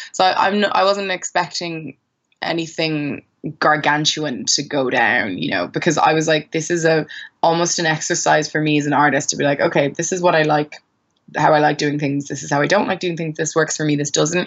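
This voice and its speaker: Fairly quick, a woman with an Irish accent speaks in a very deep, low voice with ordinary pitch variation. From Ireland, Maynooth (teen years in West Africa). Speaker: singer-songwriter. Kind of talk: casual interview. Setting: call.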